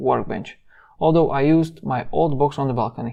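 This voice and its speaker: A man with a non-native accent speaks at a moderate pace and a fairly high pitch. His intonation is fairly even, and the recording is very clean with a silent background. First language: not English. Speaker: DIY youtuber. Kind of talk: tutorial.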